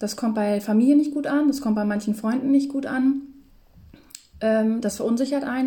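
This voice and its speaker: Dark, mellow tone from a woman at a fairly high pitch, fairly quick in pace, with fairly even intonation. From northern Germany, near Hamburg. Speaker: podcast co-host. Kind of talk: casual chat. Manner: filler-heavy, many ähm.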